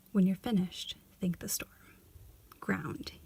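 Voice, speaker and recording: Someone soft-spoken talks at a moderate pace. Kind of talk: reading instructions aloud.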